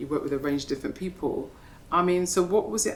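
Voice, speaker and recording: Soft-spoken, a woman talks with audible room echo. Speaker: interviewer. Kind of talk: onstage interview conversation. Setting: gallery with live audience.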